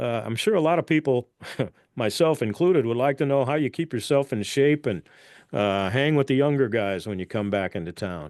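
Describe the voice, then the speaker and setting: Lively intonation marks this man's fairly quick delivery in a plain, everyday voice. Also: medium pitch for a man. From Ontario, Canada. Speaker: podcast host. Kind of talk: interview.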